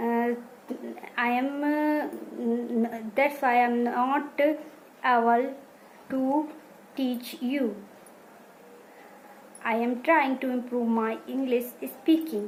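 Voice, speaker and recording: Her intonation fairly even, a woman with a high pitch speaks at a very slow pace with long, frequent pauses. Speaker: English learner, beginner. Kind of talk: casual talk to camera. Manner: slow, hesitant, many pauses.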